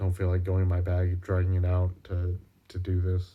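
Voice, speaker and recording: In a very clean recording with a silent background, a man speaks with a very deep, low pitch, a dark, mellow tone and a somewhat breathy quality. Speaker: video journal vlogger. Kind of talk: personal video diary. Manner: halting, many fillers.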